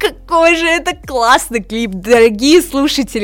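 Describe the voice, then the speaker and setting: An unremarkable speaking voice from a woman, moderately paced, with lively intonation. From southern Russia, Rostov-on-Don. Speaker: podcast host. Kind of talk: casual solo podcast talk.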